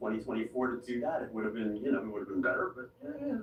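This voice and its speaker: Noticeable background noise fills the recording. Over it, a man's voice shows ordinary pitch variation. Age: 60s. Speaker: political candidate. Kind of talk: interview. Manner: halting.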